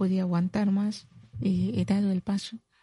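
Against a quiet background, a woman's medium-pitched, dark, mellow and somewhat breathy voice holds fairly even intonation in a dry, close sound with no echo. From Mali, south (Mandinka). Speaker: community health worker and activist. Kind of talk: radio interview. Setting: studio.

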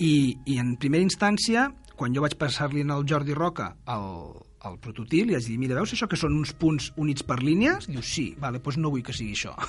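A man with a fairly high pitch speaks at a moderate pace, somewhat breathy, with lively intonation. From Catalonia, Granollers. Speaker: board game designer. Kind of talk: casual chat.

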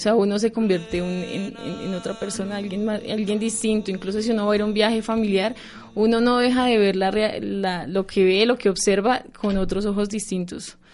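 Here a woman talks at a medium pitch and a moderate pace with hardly any pauses. Her intonation is monotone and flat. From Colombia, Bogotá. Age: 20s. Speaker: university student. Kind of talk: radio interview.

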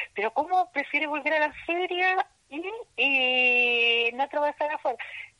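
A woman uses a raised, projected voice at a high pitch. The sound is dry and close, with no echo. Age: 60s. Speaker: market vendor and association leader. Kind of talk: interview. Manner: energetic.

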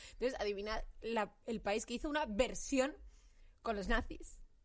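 Speaking at a fairly slow pace, a woman with a fairly high voice leaves long, frequent pauses. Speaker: podcast host. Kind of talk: casual chat.

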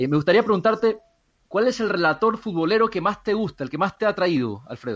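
A man with a high pitch, lively intonation and a fairly quick pace. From Ecuador (Guayaquil). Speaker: radio co-host. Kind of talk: casual interview chat.

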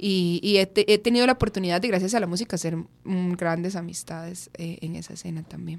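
A woman with a plain, everyday voice speaks at a fairly quick pace with hardly any pauses, her pitch fairly low, her intonation fairly even, and her loudness swinging widely. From Costa Rica, Curridabat. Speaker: rapper. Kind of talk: radio interview. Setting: radio studio.

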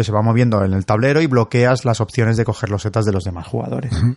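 A man with a medium pitch and ordinary pitch variation delivers his words at a very fast pace. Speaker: board game podcast co-host. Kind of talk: casual chat.

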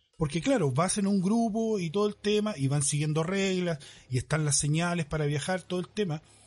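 A man with a Chilean accent talks at a fairly quick pace in a high pitch with ordinary pitch variation. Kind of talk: casual chat.

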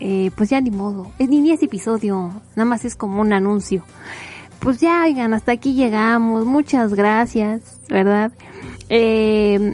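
With music playing behind her, a woman with a Mexican accent talks fairly slowly at a fairly high pitch with ordinary pitch variation. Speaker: podcast host. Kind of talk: casual monologue. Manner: animated; rambling with fillers.

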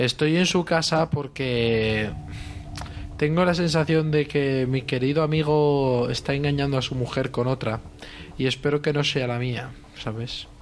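Over noticeable background noise, the speech moves fairly slowly with fairly even intonation. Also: man, fairly high pitch for a man. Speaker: podcast co-host and player. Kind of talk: role-playing game.

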